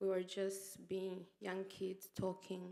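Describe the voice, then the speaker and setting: A woman's very slow delivery. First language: Kinyamulenge/Kinyarwanda. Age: 30s. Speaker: genocide survivor. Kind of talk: testimony. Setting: memorial event with audience. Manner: loud; halting.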